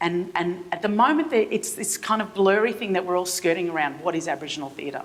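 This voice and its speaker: With an Australian accent and ordinary pitch variation, a woman speaks over noticeable background noise. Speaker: theatre artistic director. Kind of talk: keynote speech. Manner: halting, many repetitions.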